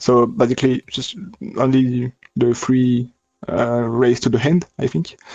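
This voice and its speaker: A man's very slow speech has a dry, close sound with no echo. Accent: French. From France. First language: French. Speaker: sim racing driver. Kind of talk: post-race interview. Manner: halting.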